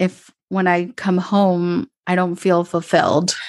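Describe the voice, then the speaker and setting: This is a woman speaking. She has an Upper Midwest accent. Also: quiet background. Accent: American (Upper Midwest). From Minnesota suburbs, US, Colombian immigrant family. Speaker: mentor and podcaster. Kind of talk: casual interview chat. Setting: remote call.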